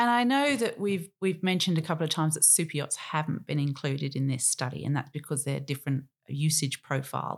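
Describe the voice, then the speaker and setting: With an Australian accent, a woman speaks in a very deep, low voice at a fairly quick pace. Her pitch variation is ordinary, in a very clean recording with a silent background. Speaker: podcast host, marina owner. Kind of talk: interview conversation.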